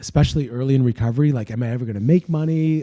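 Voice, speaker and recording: A man talks at a very fast pace in a medium pitch. His tone is dark and mellow, with ordinary pitch variation. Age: 40s. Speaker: recovering addict and business owner. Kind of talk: podcast interview, personal testimony.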